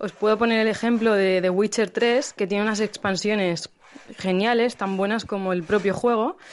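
A woman's ordinary speaking voice, medium in pitch, with fairly even intonation at a moderate pace. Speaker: listener sending a voice message. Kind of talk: recorded voice message.

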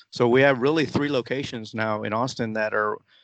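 Intonation stays fairly even at a moderate pace. This is an ordinary speaking voice. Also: man. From United States (moved from the Philippines at age four). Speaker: football supporters club president. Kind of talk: interview.

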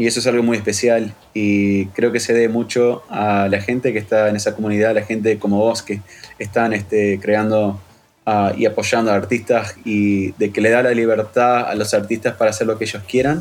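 The man speaks at a moderate pace in a fairly low voice with monotone, flat intonation. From Uruguay. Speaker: electronic musician. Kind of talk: interview.

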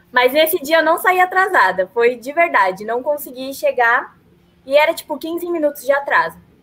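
Her high-pitched voice rises and falls with lively intonation as the woman speaks. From São Paulo, Brazil. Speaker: journalism student, podcast co-host. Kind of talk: casual chat. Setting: live stream.

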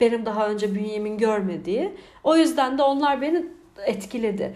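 With audible room echo, a woman in a fairly high voice speaks at a moderate pace, animated in tone and lively in intonation. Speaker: podcaster. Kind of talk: casual monologue. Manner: animated, frequent laughter.

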